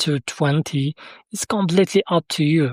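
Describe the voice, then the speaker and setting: The speaker has a non-native accent, captured in a very clean recording with a silent background. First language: Arabic. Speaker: software developer demoing own tool. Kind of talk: tutorial. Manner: halting, many fillers.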